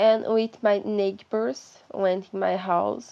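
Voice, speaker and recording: A woman speaks with a Brazilian accent at a medium pitch. Her tone is dark and mellow, and the background is quiet. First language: Portuguese. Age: 20s. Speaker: vlogger sharing mental health experience. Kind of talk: personal testimony. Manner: halting, searching for words.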